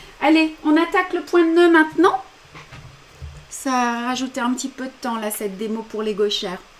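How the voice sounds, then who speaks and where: Over noticeable background noise, a high-pitched woman speaks with very wide pitch swings and long, frequent pauses. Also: moderate pace. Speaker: embroidery teacher. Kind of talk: tutorial. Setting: live stream.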